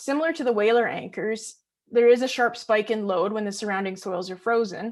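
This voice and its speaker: A woman's fairly high pitch at a fairly quick pace. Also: quiet background. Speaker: graduate student and geotechnical engineer. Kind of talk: research presentation. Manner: fast.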